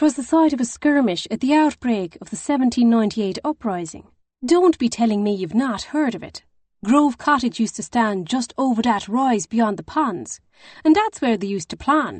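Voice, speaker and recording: Doing a put-on character voice, a woman sounds shrill and fairly high-pitched, with lively intonation, big swings in loudness and a moderate pace. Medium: read story.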